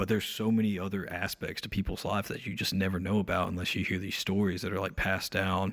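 On a very clean recording with a silent background, a man with a North Carolina accent speaks very fast in a very deep, low pitch, flat and monotone, with hardly any pauses. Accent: Southern US, North Carolina. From rural North Carolina (Ararat, near Mount Airy). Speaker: singer-songwriter, band frontman. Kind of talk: casual interview chat.

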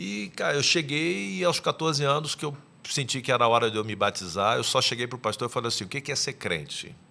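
A man with a medium pitch talks at a fairly quick pace in a bright, sharp tone, his intonation lively and his speech nearly free of pauses. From Niterói, Rio de Janeiro, Brazil. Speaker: gospel music industry executive and mentor. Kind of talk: podcast interview.

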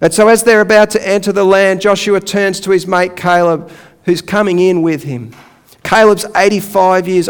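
A man speaks with an Australian accent. His pitch is high for a man, and his pace is moderate. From Australia, Melbourne area. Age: 40s. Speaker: pastor. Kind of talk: sermon. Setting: church.

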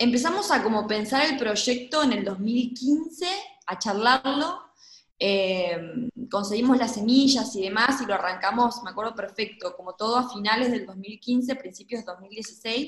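A plain, everyday voice: a woman with fairly high pitch, ordinary pitch variation and a fairly slow pace. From Argentina, Gualeguaychú (Entre Ríos). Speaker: urban agriculture project co-founder. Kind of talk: interview conversation.

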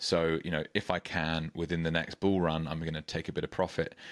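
The speaker talks at a fairly quick pace with monotone, flat intonation in a British accent. The background is quiet. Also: man. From UK. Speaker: podcast host. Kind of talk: interview.

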